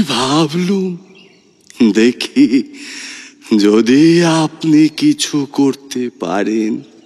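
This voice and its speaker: Putting on a character voice, a man drawls at a very slow pace with lively intonation. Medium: audio drama. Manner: slow, gentle, measured.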